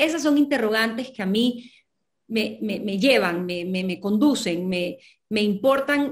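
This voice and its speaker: A woman's voice, somewhat breathy, comes across over a quiet background. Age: 40s. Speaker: novelist; guest. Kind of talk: interview. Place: home room.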